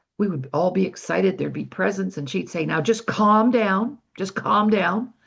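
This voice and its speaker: A woman with a Canadian accent and vocal fry talks at a moderate pace. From Canada. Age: 70s. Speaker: personal development speaker. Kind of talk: online workshop talk.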